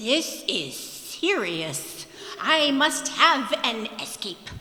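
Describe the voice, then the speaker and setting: A put-on character voice, high in pitch, speaks at a very slow pace with a clear echo. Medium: stage play. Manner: slow, simple, earnest.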